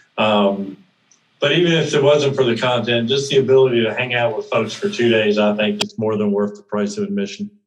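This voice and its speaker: A man with a plain, everyday voice speaks at a fairly quick pace, his medium pitch moving with ordinary variation. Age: 60s. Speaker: note investing mentor and event organizer. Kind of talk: podcast interview.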